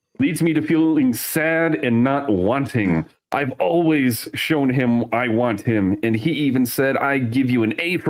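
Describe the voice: Here someone simply reads aloud, plainly.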